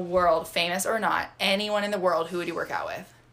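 Speaking with an American accent, a woman at medium pitch sounds animated and moves at a fairly quick pace. Noticeable background noise runs behind her. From Michigan. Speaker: fitness podcast co-host, figure competitor. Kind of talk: casual chat.

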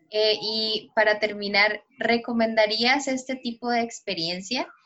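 A woman talks at a very slow pace. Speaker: podcast co-host. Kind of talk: casual interview.

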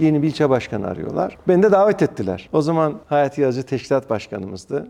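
Very wide pitch swings run through a man's very fast speech. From Ankara, Turkey (Mamak). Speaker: district mayor and politician. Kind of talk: interview conversation.

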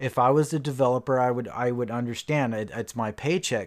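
The recording is very clean, with a silent background. A man talks at a fairly quick pace and medium pitch, with fairly even intonation. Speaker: podcast host. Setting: home studio. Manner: frustrated, exasperated, venting with sighs; halting, repeats words, rambling.

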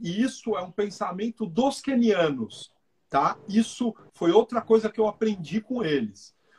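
Here a man speaks at a high pitch with lively intonation and a fairly slow pace. The sound is dry and close, with no echo. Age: 40s. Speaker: running coach and athlete. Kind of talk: casual interview on a live stream.

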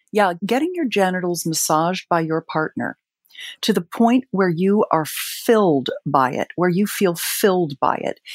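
A woman of medium pitch speaks at a fairly slow pace with lively intonation, in a normal speaking voice. The sound is dry and close, with no echo. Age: 50s. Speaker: sex and relationship advisor. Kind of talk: interview.

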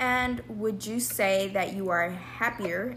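Very wide pitch swings in an American accent, with noticeable background noise. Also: woman. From Texas, Dallas. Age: 20s. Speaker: student podcast host and interviewer. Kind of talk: interview.

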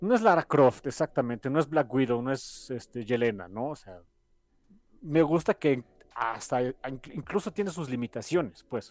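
A man with a Mexican accent at medium pitch, fairly slow and lively in intonation, with a dry, close sound and no echo. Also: very clean recording, silent background. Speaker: podcast co-host. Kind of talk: casual chat.

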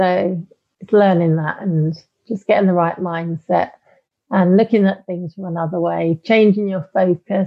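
A woman with a British accent, medium pitch, fairly even intonation and a fairly slow pace. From UK. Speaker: life coach. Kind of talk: interview. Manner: hesitant, many fillers.

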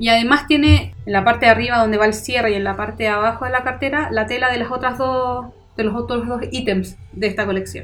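A woman's fairly high voice in a Chilean accent, at a very fast pace with fairly even intonation. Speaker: podcast co-host. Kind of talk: casual chat.

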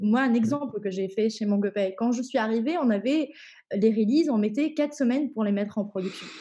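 A woman speaks at a fairly quick pace in a dark, mellow, somewhat breathy tone. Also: ordinary pitch variation. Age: 20s. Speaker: head of quality assurance. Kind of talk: interview. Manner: hesitant, many fillers.

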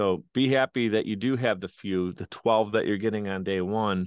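With ordinary pitch variation, a man talks in a fairly low voice at a moderate pace. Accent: Western New York. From Buffalo, New York, US. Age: 30s. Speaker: podcast producer and entrepreneur. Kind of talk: interview conversation. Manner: animated.

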